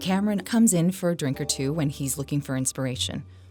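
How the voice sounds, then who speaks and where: Over background music, the voice moves at a fairly quick pace with very wide swings in pitch. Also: woman. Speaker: podcast host. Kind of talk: ghost story narration.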